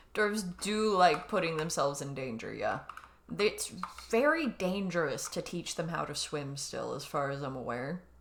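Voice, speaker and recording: With noticeable background noise in the mix, the speech proceeds at a moderate pace. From California, moved around the US. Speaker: video game streamer. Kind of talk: live game commentary chat. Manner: clear spoken; casual, chatty.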